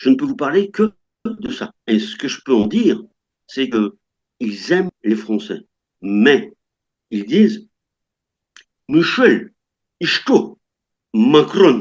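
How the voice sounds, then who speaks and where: Very slowly and with long, frequent pauses, a man speaks at a fairly high pitch, his voice swinging very widely and showing vocal fry. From France. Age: 60s. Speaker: French retiree living abroad. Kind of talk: interview. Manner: halting, many hesitations.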